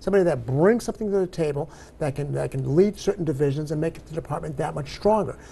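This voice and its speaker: A man talks at a very fast pace in a fairly high pitch, his dark, mellow tone carried by lively intonation over light background noise. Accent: American. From Massachusetts. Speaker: civil rights organization chapter president. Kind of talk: TV interview. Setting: TV studio. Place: studio. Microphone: lapel.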